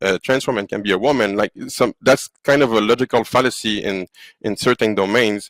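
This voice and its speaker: A fairly low-voiced man with a French accent, in a very clean recording with a silent background. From Quebec. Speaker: AI company founder. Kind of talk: podcast interview. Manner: halting.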